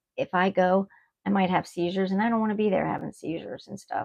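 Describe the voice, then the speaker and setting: Using an unremarkable speaking voice at medium pitch, a woman talks at a fairly quick pace. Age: 60s. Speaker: YouTuber. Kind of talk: casual chat. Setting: livestream.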